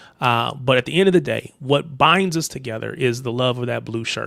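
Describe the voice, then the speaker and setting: Man with an American accent, medium pitch, a bright, sharp tone, vocal fry and a fairly quick pace. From United States. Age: 30s. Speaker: football livestream host. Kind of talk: casual chat.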